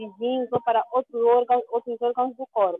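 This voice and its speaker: A woman with an unremarkable speaking voice and a fairly high pitch talks at a moderate pace. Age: 30s. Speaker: cancer survivor and activist. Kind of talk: interview. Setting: video call.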